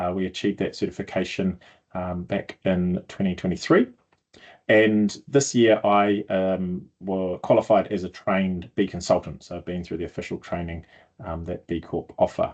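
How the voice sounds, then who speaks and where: This speaker has a New Zealand accent and fairly even intonation. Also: man, very deep, low pitch for a man, moderate pace. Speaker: sustainability consultant. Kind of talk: video blog explainer. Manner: hesitant, many fillers.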